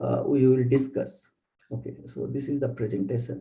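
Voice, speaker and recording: A man with an Indian accent speaks in a somewhat breathy voice with a dark, mellow tone. There is audible room echo. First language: Bengali. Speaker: bioinformatics researcher. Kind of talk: lecture. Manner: halting.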